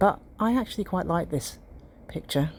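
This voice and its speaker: Lively intonation marks this woman's British accent. Her pace is moderate. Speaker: amateur artist. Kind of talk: casual talk to camera.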